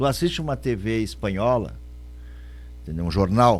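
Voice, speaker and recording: The man's fairly low voice shows vocal fry and very wide pitch swings. He talks at a fairly quick pace. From Rio Grande do Sul, Brazil. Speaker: radio podcast co-host, former stage actor. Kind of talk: casual chat.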